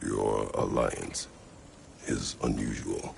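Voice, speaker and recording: A man performs a put-on character voice. Clear background noise runs beneath him. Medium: machinima. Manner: terse, gruff.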